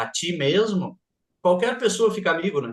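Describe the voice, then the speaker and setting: A man speaks in a southern Brazilian accent. His voice is high, with lively intonation. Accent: gaúcho accent, clearly noticeable. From southern Brazil, Rio Grande do Sul. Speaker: math teacher and speaker. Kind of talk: interview.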